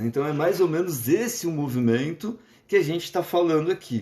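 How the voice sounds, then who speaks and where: A man's voice swings very widely in pitch at a moderate pace. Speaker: psychologist. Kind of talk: lecture. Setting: live stream. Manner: halting.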